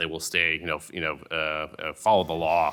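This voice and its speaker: A man talks at a very fast pace. His tone is bright and sharp. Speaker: antitrust lawyer. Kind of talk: panel talk.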